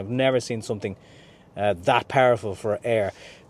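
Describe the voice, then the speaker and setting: The recording is very clean, with a silent background. A man speaks in an Irish accent. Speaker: car reviewer. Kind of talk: video review walkthrough.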